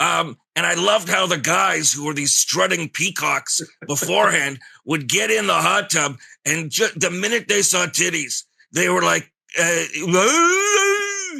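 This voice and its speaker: A man speaks in a put-on character voice with a raspy edge. His pace is fairly slow. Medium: puppet. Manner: blunt, sardonic.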